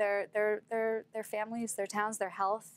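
An American accent shapes the speech. It comes from a woman. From Pennsylvania, Philadelphia; Pennsylvania. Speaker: anti-fracking activist; guest. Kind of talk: interview. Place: studio. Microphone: lapel.

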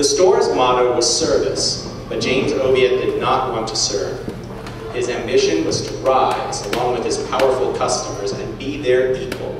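Speech at a moderate pace amid noticeable background noise and strong room echo. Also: man. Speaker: guest. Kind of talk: lecture. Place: hall. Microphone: camera far.

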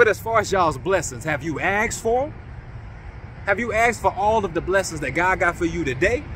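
A man's high, animated voice with lively intonation at a fairly quick pace, dry with no echo, over light background noise. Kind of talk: sermon-style exhortation to online congregation. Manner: animated, rallying, high-energy call-and-response; emphatic, repetitive, urging. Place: open country. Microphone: phone near.

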